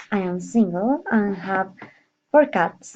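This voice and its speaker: With lively intonation, a woman of medium pitch talks at a very slow pace. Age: 30s. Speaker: nurse. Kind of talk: prepared monologue. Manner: halting.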